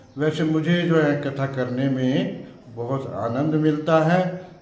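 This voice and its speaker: A man's fairly high voice with fairly even intonation, audible room echo and noticeable background noise. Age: 70s. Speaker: religious storyteller. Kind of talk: interview. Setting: temple. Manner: halting.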